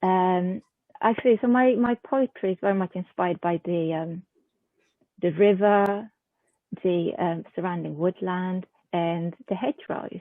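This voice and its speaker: A woman with a Swedish accent, medium in pitch, at a fairly slow pace with ordinary pitch variation and long, frequent pauses. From southern Sweden. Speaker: haiku poet and journal editor. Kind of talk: interview. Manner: hesitant, many fillers.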